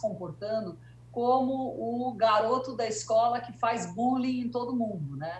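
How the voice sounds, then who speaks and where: Over noticeable background noise and audible room echo, a woman speaks at a fairly slow pace, her pitch swinging very widely. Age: 60s. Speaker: journalist and etiquette consultant. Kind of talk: interview. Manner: hesitant, many fillers.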